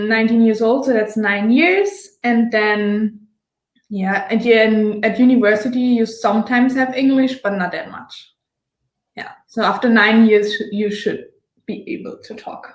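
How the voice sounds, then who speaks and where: At a moderate pace, a woman with a slight Austrian accent speaks at a fairly high pitch with fairly even intonation and big swings in loudness. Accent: German-speaking Austrian accent, slight. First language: German. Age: 20s. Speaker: former exchange student. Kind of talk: casual interview.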